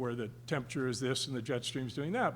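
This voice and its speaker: Fairly quick, somewhat breathy speech from a man. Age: 70s. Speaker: scientist on a conference panel. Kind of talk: panel discussion. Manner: halting, many repeated words.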